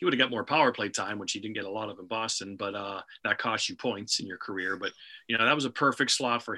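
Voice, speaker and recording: A man's tone is bright and sharp, and his pitch varies in an ordinary way. Behind him the background is silent on a very clean recording. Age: 50s. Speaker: hockey play-by-play broadcaster. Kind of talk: casual interview. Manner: halting, with fillers and repetitions.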